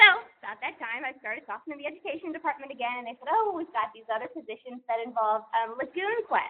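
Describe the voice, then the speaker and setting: At a very fast pace, a woman talks at a high pitch with very wide pitch swings. Her loudness rises and falls sharply. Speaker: zoo educator and seminar speaker. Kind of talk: seminar talk. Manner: animated.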